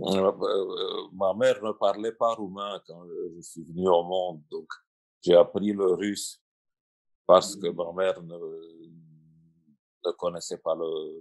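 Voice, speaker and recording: Very slowly and with long, frequent pauses, a man speaks with big swings in loudness. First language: Russian (speaking French). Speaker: translator and writer. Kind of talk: panel discussion. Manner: halting.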